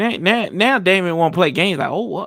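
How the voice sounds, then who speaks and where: A man's high-pitched voice in a Southern US accent, animated in tone, with ordinary pitch variation. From US South. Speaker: sports podcast host. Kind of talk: casual chat.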